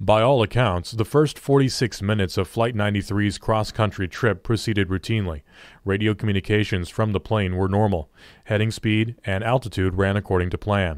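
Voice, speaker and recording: In a very clean recording with a silent background, a man with an unremarkable speaking voice talks at a moderate pace, his fairly low pitch showing ordinary variation and his loudness very even. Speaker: audiobook narrator. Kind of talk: audiobook reading of a government report, grave dramatic narration. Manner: solemn, measured, formal.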